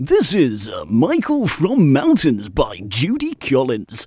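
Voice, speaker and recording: A man does a put-on character voice, pitched fairly high and spoken at a very slow pace. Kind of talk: radio announcer.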